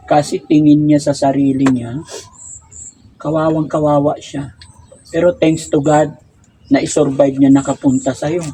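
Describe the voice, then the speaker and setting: Over noticeable background noise, a man with a fairly high pitch speaks at a moderate pace in a monotone, flat intonation, with long, frequent pauses. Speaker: online advice show host. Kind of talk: interview.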